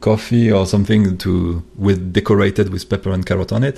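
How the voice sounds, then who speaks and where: A man with a French accent, very deep and low in pitch, with fairly even intonation. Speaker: comic artist and animator. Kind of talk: interview. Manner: halting.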